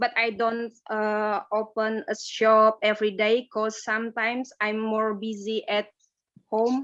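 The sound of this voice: A woman talks slowly in a fairly high voice with a fairly bright tone. Her pitch barely moves.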